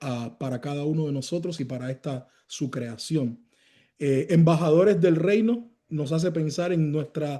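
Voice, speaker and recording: The voice has a dark, mellow tone. It moves at a fairly slow pace. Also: man. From Cuba. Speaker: pastor. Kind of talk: sermon. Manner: loud, raises voice.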